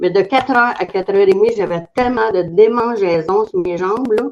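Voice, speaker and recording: In a Quebec accent, a woman talks at a moderate pace with ordinary pitch variation. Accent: Québécois French. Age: 70s. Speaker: testimonial giver, network marketer. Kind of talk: testimony.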